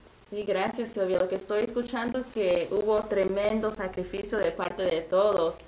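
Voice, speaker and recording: A woman at medium pitch with hardly any pauses, over noticeable background noise. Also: fairly even intonation, moderate pace. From Mexico. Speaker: community radio host. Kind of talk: radio interview.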